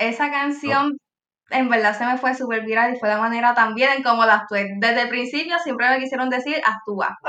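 With a Puerto Rican accent, a woman speaks at a moderate pace in a high voice, her intonation fairly even and her pauses hardly any. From Puerto Rico. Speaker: TikTok creator. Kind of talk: casual interview.

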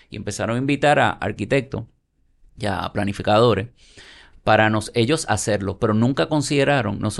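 A man speaks at a fairly quick pace, with a medium pitch and ordinary pitch variation. It is an ordinary speaking voice, set against a quiet background. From Puerto Rico (Santurce, San Juan). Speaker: architect and urban developer. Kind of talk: casual interview.

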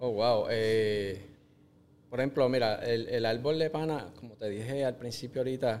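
At a moderate pace, a man talks in a medium-pitched voice with fairly even intonation. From Puerto Rico. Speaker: agri-food entrepreneur, engineer. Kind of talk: interview. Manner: halting.

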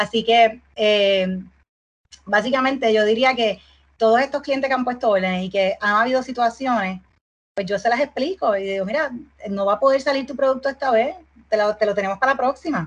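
This is an ordinary speaking voice moving at a fairly quick pace with ordinary pitch variation. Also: woman, fairly high pitch for a woman. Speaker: export business founder. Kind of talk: casual interview.

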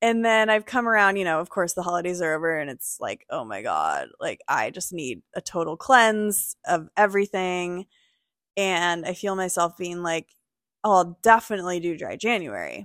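Loudness swings widely, while pitch varies in an ordinary way. The recording is very clean, silent in the background, and dry and close with no echo. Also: woman, medium pitch for a woman, moderate pace. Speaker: wellness retreat creator. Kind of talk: casual chat. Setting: sitting on a couch in a garage.

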